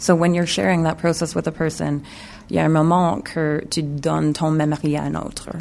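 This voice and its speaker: A woman with an English accent speaks in a very deep, low pitch. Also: ordinary pitch variation, moderate pace. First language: English (speaking French). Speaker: video installation artist. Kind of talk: radio interview. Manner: halting, mixing French and English.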